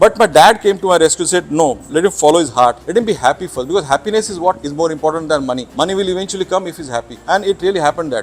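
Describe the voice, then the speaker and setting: A man talks very fast in a Marathi accent, his pitch high and his speech with hardly any pauses. Background noise is noticeable throughout. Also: ordinary pitch variation. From Mumbai, India. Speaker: naturalist. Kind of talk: interview. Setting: on camera. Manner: halting.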